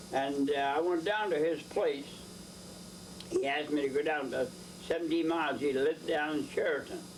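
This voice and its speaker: Noticeable background noise sits behind a man with a fairly high pitch. He keeps a moderate pace, fairly even intonation and very even loudness. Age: 80s+. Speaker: horse dealer. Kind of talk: interview answer.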